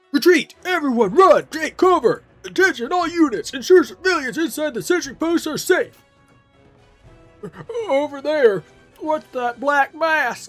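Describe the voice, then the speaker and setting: A high, put-on character voice in a panicked tone moves at a moderate pace with long, frequent pauses as faint music plays in the background. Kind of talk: goofy.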